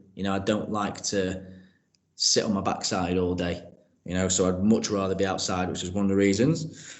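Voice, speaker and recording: A man is speaking. Audible echo from the room can be heard. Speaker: PE teacher and progress leader. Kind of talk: interview. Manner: loud.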